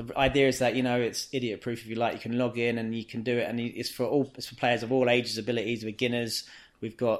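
A man with a London accent speaks at a very fast pace. His medium-pitched voice is monotone and flat. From England, inner-city London. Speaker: football coach. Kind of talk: casual interview.

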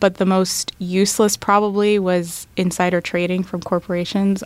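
A woman speaks at a moderate pace with a General American accent. The recording is very clean, with a silent background. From Florida (Tampa), Middle Eastern family. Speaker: law student. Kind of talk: interview.

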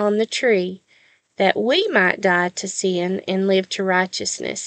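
A woman speaks very slowly with a Southern US accent. The sound is dry and close with no echo, over a quiet background. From US South. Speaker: podcast host and Bible devotional teacher. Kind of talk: devotional Bible teaching. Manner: warm, sincere, with frequent filler pauses.

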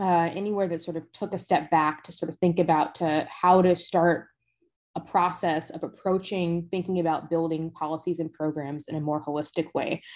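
The speaker has a plain, everyday voice and an American accent. The pace is moderate, with ordinary pitch variation. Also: woman. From US South, Decatur, Georgia. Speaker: sustainability program director. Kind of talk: interview conversation.

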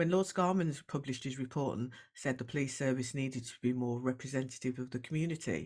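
In a Brummie accent, a woman speaks at a moderate pace with a very deep, low pitch. The recording is very clean, with a silent background. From Birmingham, West Midlands. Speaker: diversity coach and former police officer. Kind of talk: interview.

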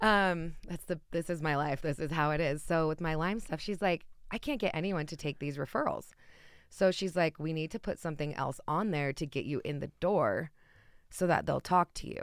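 Very clean, with a silent background, this recording has a woman speaking in an American accent at a moderate pace. Hers is an unremarkable speaking voice, fairly low in pitch with ordinary pitch variation. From Utah. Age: 30s. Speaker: wellness coach. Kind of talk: casual chat.

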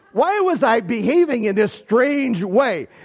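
Over noticeable background noise, someone with an American accent speaks with very wide pitch swings. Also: man. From southwestern Michigan. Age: 60s. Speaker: pastor. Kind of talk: sermon.

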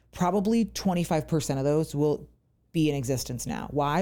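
A woman with an American accent speaks at a moderate pace in a dark, mellow tone with vocal fry and lively intonation, in a very clean recording with a silent background. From US Virginia. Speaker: podcast host. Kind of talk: casual interview chat. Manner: excited, chatty.

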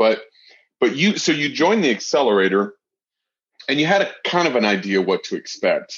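Fairly high in pitch and full of vocal fry, a man speaks fairly quickly with very wide pitch swings and long, frequent pauses. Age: 30s. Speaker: podcast host and real estate investor. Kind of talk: casual interview.

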